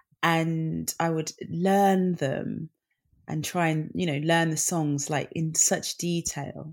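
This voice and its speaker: Speaking with a British accent, a woman uses a very deep, low pitch and a monotone, flat intonation at a very slow pace. The recording is very clean, with a silent background. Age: 30s. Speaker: singer and children's author. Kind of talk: casual interview chat.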